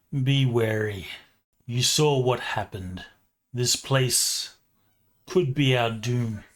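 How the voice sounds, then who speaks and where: A put-on character voice drags along at a very slow pace, broken by long, frequent pauses. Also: man, medium pitch for a man, ordinary pitch variation. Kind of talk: serious, dramatic. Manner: wary, warning.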